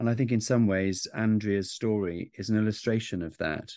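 With a Welsh accent, a man talks at a fairly quick pace in a fairly low pitch. His intonation is fairly even and the background quiet. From South Wales. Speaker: podcast host, author and journalist. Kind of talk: interview.

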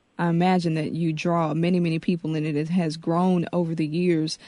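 In a quiet background, a woman with an American accent speaks at a fairly low pitch in a dark, mellow tone with fairly even intonation. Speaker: radio host. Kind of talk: radio interview. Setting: studio.

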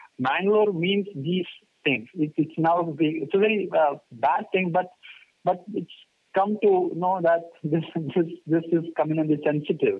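Speaking at a fairly slow pace, the man has a high-pitched voice. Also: ordinary pitch variation, very even loudness. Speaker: newspaper correspondent. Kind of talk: interview. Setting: remote call. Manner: halting.

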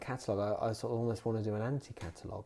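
In a southern English accent, a man speaks at a medium pitch with a dark, mellow tone on a very clean recording with a silent background. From southern England (Bedfordshire, Dunstable). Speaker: graphic designer. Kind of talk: interview conversation. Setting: designer's studio. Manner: hesitant, many fillers.

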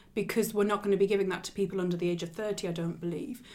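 Woman at medium pitch with a northeast English accent. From northeast England. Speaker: royal news podcast host. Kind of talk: casual chat.

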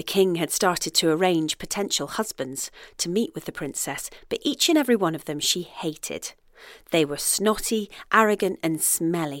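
A woman's fairly low voice with lively intonation and an animated, playful tone at a moderate pace, on a very clean recording with a silent background. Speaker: storyteller. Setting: outdoor fairy trail audio guide. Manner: animated, playful storyteller; warm, gently whimsical pacing.

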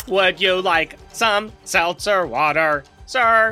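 Speaking at a very slow pace over faint background music, a man uses a high-pitched, put-on character voice. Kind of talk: comic role-play. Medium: actual play. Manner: fussy, vain, mock-polite.

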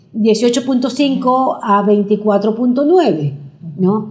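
A woman's speech comes with noticeable noise in the background. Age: 60s. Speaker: nutrition doctor. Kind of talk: interview.

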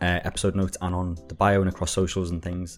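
With music in the background, a man with a Liverpool accent speaks at a very deep, low pitch in a monotone, flat intonation. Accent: Scouse. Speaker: podcast co-host. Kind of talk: casual, colloquial Liverpool slang.

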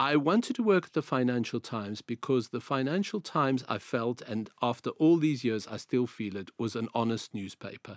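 Someone with a South African accent speaks with lively intonation and hardly any pauses. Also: man, medium pitch for a man, moderate pace, big swings in loudness. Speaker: journalist. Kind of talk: interview.

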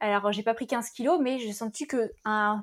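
A woman speaks at a moderate pace in an unremarkable speaking voice. Her pitch is fairly high, with ordinary variation. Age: 30s. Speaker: podcaster and former engineer. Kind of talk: testimony.

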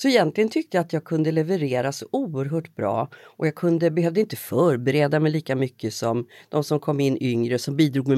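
A woman with a very deep, low pitch and dark, mellow tone speaks with lively intonation and hardly any pauses, in a dry, close sound with no echo on a very clean recording with a silent background. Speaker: journalist and podcast host. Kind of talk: interview conversation.

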